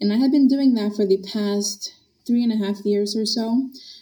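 Her voice is somewhat breathy and dark, mellow in tone, with fairly even intonation from this woman. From Honduras. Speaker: dietitian and nutrition professor. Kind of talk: interview chat.

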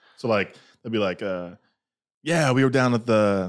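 A man with a normal speaking voice talks at a fairly low pitch, with ordinary pitch variation and a moderate pace, on a very clean recording with a silent background. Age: 20s. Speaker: podcast guest. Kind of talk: casual chat. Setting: studio.

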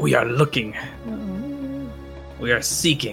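Over clear music in the background, a man puts on a character voice at a medium pitch and a moderate pace. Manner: menacing, sinister.

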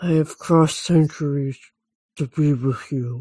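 This put-on character voice sits in a low-to-middle pitch and moves at a moderate pace. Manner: dramatic, romantic.

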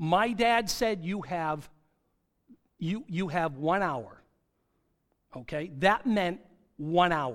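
This man has a high-pitched voice with lively intonation and talks at a very slow pace. The recording is very clean, with a silent background. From southern New Hampshire. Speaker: guest preacher. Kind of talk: sermon. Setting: church with congregation.

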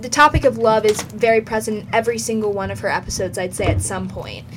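A woman speaks with music in the background. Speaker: podcast co-host. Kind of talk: casual chat.

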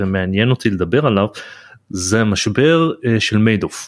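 A man's fairly low-pitched, normal speaking voice, a normal speaking voice with lively intonation at a moderate pace, in a very clean recording with a silent background and a dry, close sound with no echo. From Israel. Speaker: podcast host. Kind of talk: interview.

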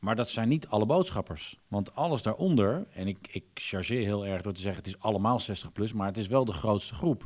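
A man with a normal speaking voice talks at a fairly low pitch and a fairly quick pace, with lively intonation and hardly any pauses, on a very clean recording with a silent background. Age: 40s. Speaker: voice-over artist. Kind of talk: casual chat.

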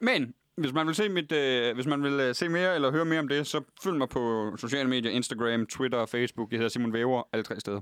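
An ordinary speaking voice at a fairly quick pace, with ordinary pitch variation and very even loudness, comes through a dry, close sound with no echo in a very clean recording with a silent background. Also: man, medium pitch for a man. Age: 20s. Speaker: comedian. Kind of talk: casual chat. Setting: studio.

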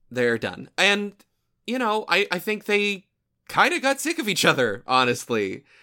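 A man with a high pitch speaks at a fairly slow pace in a raised, projected voice with very wide pitch swings and a bright, sharp, playful tone. The recording is very clean with a silent background. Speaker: podcast host. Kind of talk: casual banter, podcast chat. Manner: joking, playful.

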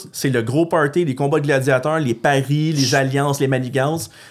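On a very clean recording with a silent background, a man with an unremarkable speaking voice talks fairly quickly at a fairly high pitch. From Gatineau, Outaouais, Quebec. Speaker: post-apocalyptic enthusiast and larp organizer. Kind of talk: casual chat.

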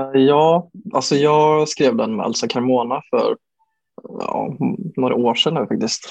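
A man speaks at a fairly slow pace with a fairly high pitch and ordinary pitch variation. He leaves long, frequent pauses. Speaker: bedroom pop musician. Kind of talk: casual interview. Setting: remote recording over Zoom. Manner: halting, many fillers and repeated words.

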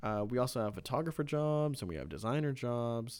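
A man's unremarkable speaking voice at a fairly quick pace with lively intonation, on a very clean recording with a silent background. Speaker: student newspaper editor and podcast co-host. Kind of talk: casual chat.

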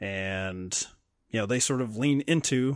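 The recording is very clean, with a silent background. A man with a slight Southern US accent talks at a moderate pace, medium pitch and ordinary pitch variation. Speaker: film podcast co-host. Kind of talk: casual chat.

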